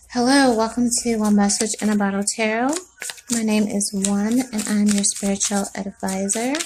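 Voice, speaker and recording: A woman talks at a fairly high pitch and with fairly even intonation, and noticeable noise can be heard behind her. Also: moderate pace. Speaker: tarot reader. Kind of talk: tarot reading. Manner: soft-spoken.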